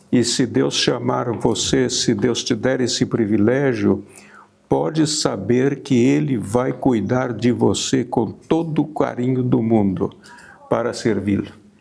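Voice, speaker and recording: A man speaks at a very slow pace, with lively intonation and very even loudness. Music plays in the background. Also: medium pitch for a man. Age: 80s+. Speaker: missionary pastor. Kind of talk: testimony.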